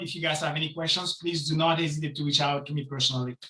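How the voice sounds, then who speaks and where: The speaker talks at a very fast pace with a non-native accent. Intonation stays fairly even. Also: man. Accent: foreign. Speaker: city council candidate. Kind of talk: campaign speech at online meeting.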